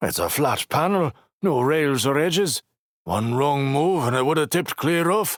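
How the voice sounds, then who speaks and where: A man's put-on character voice, fairly high-pitched, with lively intonation at a moderate pace, the sound dry and close with no echo. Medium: read story.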